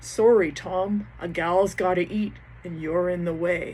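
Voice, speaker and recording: Light background noise sits behind a woman's put-on character voice. She speaks at a fairly low pitch and a fairly slow pace. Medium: read story. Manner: casual, matter-of-fact.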